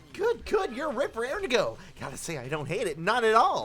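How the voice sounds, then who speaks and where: Amid clear background noise, a put-on character voice with a fairly high pitch delivers lines theatrically at a fairly quick pace. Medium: game stream. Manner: gleeful, theatrical.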